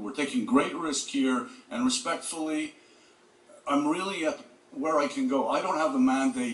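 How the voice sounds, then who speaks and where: A man's pitch swings very widely as he talks at a moderate pace, with noticeable background noise behind him. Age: 60s. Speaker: real estate developer. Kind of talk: public hearing testimony. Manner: halting.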